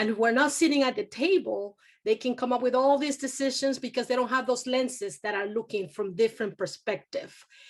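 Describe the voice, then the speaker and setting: Fairly high-pitched woman with a Spanish accent and lively intonation, against a quiet background. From Venezuela. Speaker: university community engagement director. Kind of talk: panel discussion.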